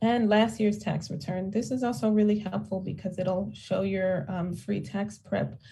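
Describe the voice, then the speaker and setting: With a medium pitch and a dark, mellow tone, a woman speaks at a moderate pace with vocal fry and ordinary pitch variation, and room echo is audible. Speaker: tax credit outreach presenter. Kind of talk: town hall presentation. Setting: town hall.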